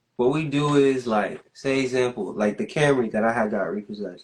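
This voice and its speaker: A man's medium-pitched, ordinary speaking voice with an American accent and ordinary pitch variation. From Orlando, Florida. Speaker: student and small business owner. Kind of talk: livestream interview.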